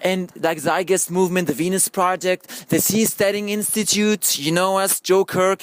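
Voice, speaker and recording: A man with a non-native accent talks at a fairly quick pace. His pitch is high. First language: not English. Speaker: filmmaker pitching a film project. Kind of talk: group discussion pitch. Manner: halting, repeats words; animated.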